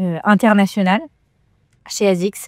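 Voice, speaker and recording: In a very clean recording with a silent background and a dry, close sound free of echo, a woman talks at a moderate pace with a medium pitch and a dark, mellow tone. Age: 20s. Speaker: trail runner and lawyer. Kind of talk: interview. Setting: cryotherapy centre. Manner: hesitant, many fillers.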